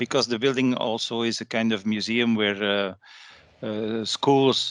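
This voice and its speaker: The recording is dry and close, with no echo. A man with a Flemish accent speaks fairly slowly with fairly even intonation. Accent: Belgian Dutch (Flemish) accent in English. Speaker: architect and professor giving a guest lecture. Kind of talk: online lecture.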